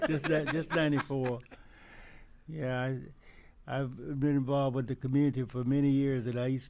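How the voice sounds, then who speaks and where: The speaker talks at a fairly quick pace with a Texas accent. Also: man. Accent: Southern US (Texas). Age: 80s+. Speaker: retired police officer. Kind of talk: radio interview. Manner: halting.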